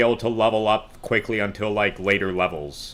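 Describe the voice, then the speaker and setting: Loud and bright with a sharp tone, a man talks at a moderate pace in a fairly low pitch. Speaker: game streamer. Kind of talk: casual gaming stream chat.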